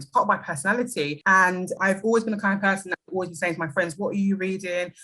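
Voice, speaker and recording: A woman speaks with a British accent. Her pitch sits in the medium range. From London, England. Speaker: book influencer and anti-racist educator. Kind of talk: podcast interview.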